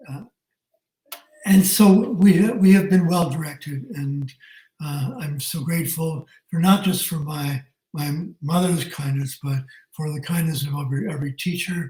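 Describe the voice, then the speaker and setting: A man with a Canadian accent, fairly high-pitched, his tone dark and mellow, at a fairly slow pace, with big swings in loudness and long, frequent pauses. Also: ordinary pitch variation. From southwestern Ontario, Canada (Tillsonburg). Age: 70s. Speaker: retired teacher. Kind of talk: interview.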